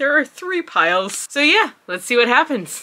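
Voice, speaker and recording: A woman speaks at a fairly quick pace in a raised, projected voice. Her tone is bright and sharp. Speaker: book vlogger. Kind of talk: casual vlog chat. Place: home room.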